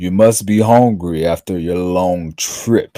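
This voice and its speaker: A man's put-on character voice, very deep and low, at a fairly slow pace on a very clean recording with a silent background. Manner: gruff, welcoming.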